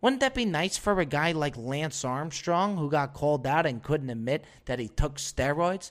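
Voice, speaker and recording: On a very clean recording with a silent background, a fairly high-pitched man speaks at a moderate pace in an animated tone, with ordinary pitch variation and hardly any pauses. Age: 20s. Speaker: podcast host. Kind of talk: comedic monologue. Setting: studio.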